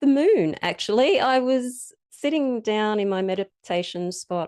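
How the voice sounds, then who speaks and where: In an Australian accent, a woman speaks with lively intonation and a dark, mellow tone. The sound is dry and close, with no echo. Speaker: witchcraft teacher and author. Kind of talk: interview.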